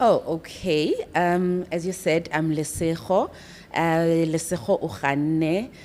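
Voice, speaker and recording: A woman with a fairly low voice speaks at a very slow pace, with ordinary pitch variation. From South Africa, Johannesburg. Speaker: podcast guest sharing life story. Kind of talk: testimony.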